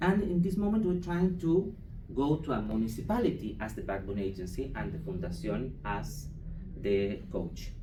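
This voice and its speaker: A man with a Chilean accent talks at a moderate pace, with audible room echo. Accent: non-native English, Chilean Spanish. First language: Spanish. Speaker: foundation program manager presenting at conference. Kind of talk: conference presentation. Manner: halting, many hesitations and restarts.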